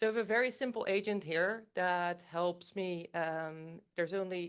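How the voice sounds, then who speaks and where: A woman with a Dutch accent speaks against a quiet background. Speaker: AI company engineer giving a talk. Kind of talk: conference talk with live demo.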